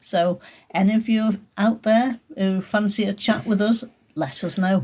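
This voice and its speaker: A woman speaks in a somewhat breathy, medium-pitched voice. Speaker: podcast host. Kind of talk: podcast introduction.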